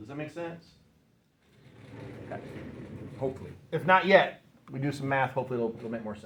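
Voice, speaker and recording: A man's voice with audible room echo. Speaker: high school physics teacher. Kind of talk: classroom lecture. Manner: halting, self-correcting.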